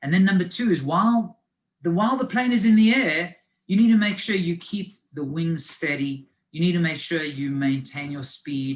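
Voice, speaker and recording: With a South African accent, a man speaks at a moderate pace in a fairly high voice with lively intonation. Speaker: finance advisor. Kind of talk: lecture. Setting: video call.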